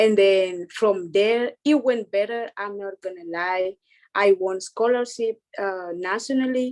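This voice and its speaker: A woman with a Spanish accent talks at a fairly slow pace at medium pitch, using ordinary pitch variation. The recording is dry and close, without echo. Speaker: international student. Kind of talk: panel discussion. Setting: video call.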